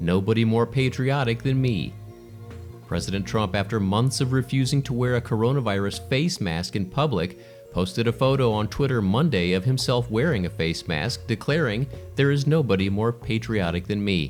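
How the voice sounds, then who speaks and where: With music in the background, a man talks at a moderate pace and medium pitch, his intonation lively and his loudness very even. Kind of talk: news review read.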